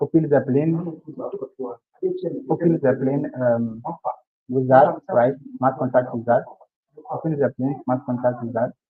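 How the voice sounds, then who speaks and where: A man speaks quietly at a medium pitch and a fairly slow pace, his intonation fairly even and broken by long, frequent pauses. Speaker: bootcamp instructor. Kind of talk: technical tutorial. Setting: live stream video call. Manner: too quiet.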